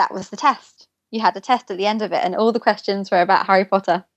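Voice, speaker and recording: Speaking very fast with an English accent, a woman keeps her intonation fairly even, and the sound is dry and close with no echo. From England. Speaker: former theme park worker. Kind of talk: podcast interview.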